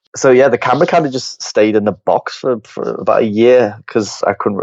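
Speaking at a very fast pace, a man talks in a Liverpool accent. His pitch varies in an ordinary way. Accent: Liverpool (Scouse) English. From Liverpool, England. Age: 20s. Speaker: photographer. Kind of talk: casual interview chat.

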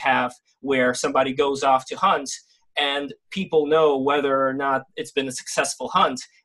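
Fairly high in pitch, a man with an American accent has an unremarkable speaking voice, speaking at a moderate pace with fairly even intonation. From US, childhood emigrant from St. Petersburg, Russia. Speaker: animation director and content creator. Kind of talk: casual debate podcast chat.

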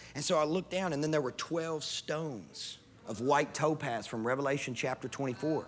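A fairly high-pitched man with a Kentucky accent at a moderate pace. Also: ordinary pitch variation. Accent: Kentucky Southern US. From US South, West Kentucky. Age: 30s. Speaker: pastor. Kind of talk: sermon.

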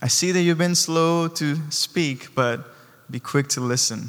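With a non-native accent, a man speaks at a fairly slow pace with ordinary pitch variation. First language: not English. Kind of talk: sermon. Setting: church. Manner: animated.

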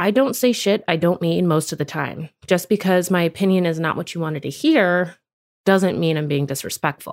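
A woman speaks at a moderate pace with a fairly low pitch. Her pitch varies in an ordinary way. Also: very clean recording, silent background. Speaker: podcast host. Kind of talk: solo monologue podcast episode. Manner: blunt, straightforward.

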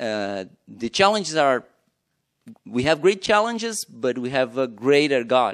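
Speaking at a fairly slow pace, a man with a Portuguese accent uses a fairly high pitch with very wide pitch swings. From Brazil. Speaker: missionary pastor. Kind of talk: testimony. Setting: church.

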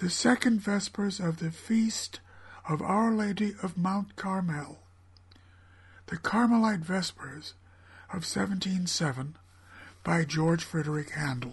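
High-pitched man, fairly slow, with ordinary pitch variation and long, frequent pauses. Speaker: classical music radio host. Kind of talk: scripted broadcast presentation. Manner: formal, erudite.

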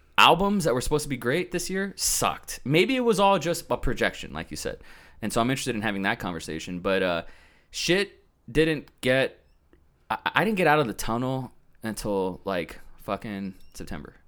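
A man's voice with vocal fry and very wide pitch swings, on a very clean recording over a silent background. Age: 30s. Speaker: videographer and director. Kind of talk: casual chat.

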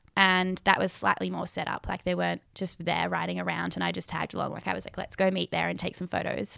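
A woman with an Australian accent talks at a very fast pace on a very clean recording with a silent background. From Western Australia, Perth. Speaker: photographer. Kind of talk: casual interview. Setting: her apartment.

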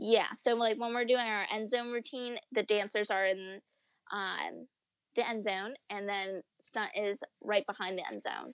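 A woman's normal speaking voice with an American accent, fairly high in pitch, fairly even in intonation and fairly slow in pace, recorded dry and close with no echo against a quiet background. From upstate New York. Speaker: professional cheerleader. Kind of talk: interview.

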